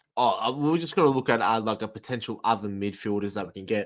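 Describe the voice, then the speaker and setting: On a very clean recording with a silent background, a man with an Australian accent speaks at a very fast pace and medium pitch with ordinary pitch variation. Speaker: football podcast host. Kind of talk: casual chat. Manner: animated; halting, stammering.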